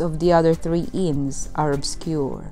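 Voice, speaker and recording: Music plays in the background as a woman speaks. Her pace is fairly slow and her intonation lively. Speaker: tour narrator. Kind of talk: documentary narration.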